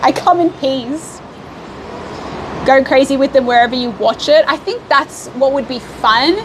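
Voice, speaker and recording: There is noticeable background noise as a woman speaks in an Australian accent with a high pitch and ordinary pitch variation. She goes at a fairly slow pace with long, frequent pauses. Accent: Australian, obvious. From Australia, Melbourne. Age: 20s. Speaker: livestreamer. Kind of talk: casual chat. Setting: live stream while traveling. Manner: casual, chatty with fillers.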